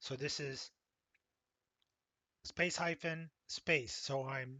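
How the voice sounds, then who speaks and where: This man speaks with a Pennsylvania accent and a fairly even intonation. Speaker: college instructor. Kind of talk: tutorial.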